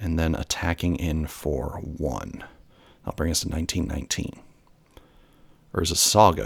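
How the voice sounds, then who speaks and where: A man with a very deep, low voice and vocal fry talks at a fairly slow pace, his pitch varying in an ordinary way. He pauses long and often, and the recording is very clean with a silent background. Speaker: gameplay commentator. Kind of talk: live commentary.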